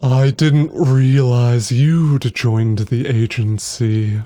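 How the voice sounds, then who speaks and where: Putting on a character voice at medium pitch, a man speaks at a very slow pace on a very clean recording with a silent background. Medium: read story. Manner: sardonic, dry.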